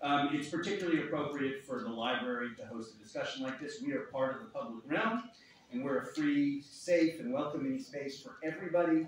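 A man talks at a fairly quick pace with very wide pitch swings. Strong room echo and light background noise fill the recording. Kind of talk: welcome speech. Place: hall.

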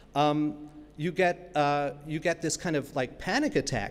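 This man has an American accent. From New York (Brooklyn). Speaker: academic keynote speaker on copyright. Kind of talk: keynote lecture. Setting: stage with audience. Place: hall. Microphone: podium.

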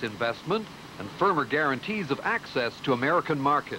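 Very wide pitch swings and a moderate pace from a man, noticeable background noise behind him. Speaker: TV news reporter. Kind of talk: 1984 TV news report, scripted narration. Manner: measured, formal, authoritative broadcast delivery.

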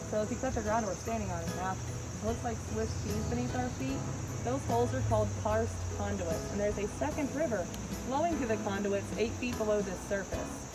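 Over loud background noise, a woman speaks at a fairly quick pace. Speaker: tour guide. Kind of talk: guided tour talk. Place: forest. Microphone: camera far.

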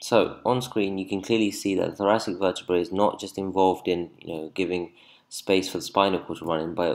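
A man speaks fairly quickly in a very deep, low pitch with fairly even intonation, on a very clean recording with a silent background. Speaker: anatomy tutor. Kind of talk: lecture. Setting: screen-recorded video lesson. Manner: fast talker.

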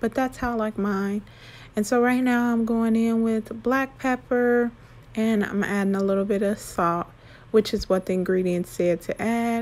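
A woman at a moderate pace, her intonation fairly even. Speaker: home cook vlogger. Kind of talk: casual cooking tutorial narration. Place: kitchen.

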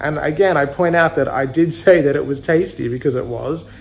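A man talks fairly quickly, his pitch moving with ordinary variation. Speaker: travel vlogger. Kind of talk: casual vlog chat. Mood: recounting an uncomfortable experience. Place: home room. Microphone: phone near.

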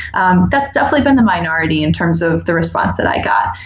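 A woman talks with an American accent. Noticeable background noise runs underneath. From New York, US. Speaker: dance instructor. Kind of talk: casual interview.

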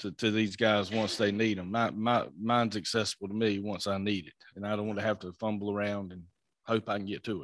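A man's fairly bright tone carries fairly even intonation throughout.

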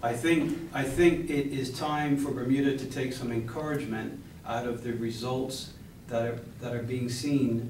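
A man talks at a moderate pace with fairly even intonation, and the recording has light background noise and audible room echo. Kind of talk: press conference answer. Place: hall.

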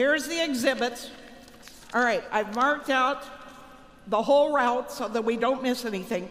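A woman speaks in a high voice at a moderate pace. Her pitch varies in an ordinary way. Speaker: comic skit performer. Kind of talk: comedic stage skit dialogue. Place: hall. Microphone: handheld.

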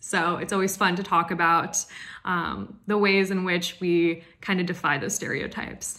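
Against a quiet background, a woman with an American accent sounds upbeat and enthusiastic in a bright, sharp tone. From US, Oregon. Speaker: chemical engineer. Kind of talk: Q&A monologue to camera. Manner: upbeat, enthusiastic. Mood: cheerful, smiling. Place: home room. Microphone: phone near.

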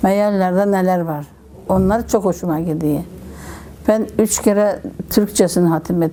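A woman speaks at a fairly slow pace with long, frequent pauses and a medium pitch. Her intonation is fairly even, and there is noticeable background noise. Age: 70s. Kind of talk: interview answer.

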